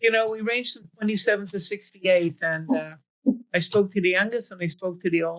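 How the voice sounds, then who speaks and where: A woman talks at a fairly quick pace in a plain, everyday voice. Her pitch is medium, with ordinary pitch variation. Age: 60s. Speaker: life coach and host. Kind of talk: interview.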